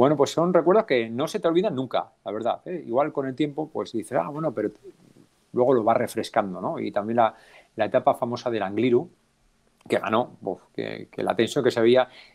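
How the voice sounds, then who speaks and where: This man talks at a fairly quick pace with a medium pitch and lively intonation. The background is quiet. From Navarra, Spain (Alsasua); Navarra, Spain. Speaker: cycling race announcer. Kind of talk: casual interview. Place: home room. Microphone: unstable connection.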